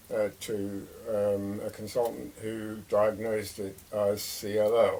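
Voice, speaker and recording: With an English accent, a man speaks very slowly in monotone, flat intonation. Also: fairly low pitch for a man. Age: 80s+. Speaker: retired man sharing illness experience. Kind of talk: casual monologue. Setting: by a fireside. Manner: hesitant, many fillers.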